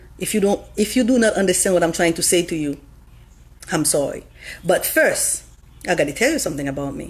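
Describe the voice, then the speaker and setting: A somewhat breathy woman talks at a fairly quick pace with a medium pitch. Her intonation is lively, broken by long, frequent pauses. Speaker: livestreamer. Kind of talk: religious talk. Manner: fast.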